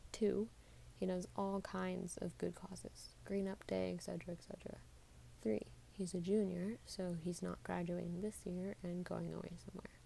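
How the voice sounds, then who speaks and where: Soft-spoken and calm in tone, a woman talks at a moderate pace. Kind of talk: soft-spoken book reading / ASMR-style. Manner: soft-spoken, calm.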